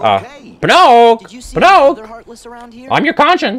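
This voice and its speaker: Squeaky and fairly high in pitch, a put-on character voice speaks at a very slow pace over light background noise. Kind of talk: playful commentary with character voice. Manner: squeaky, cartoonish.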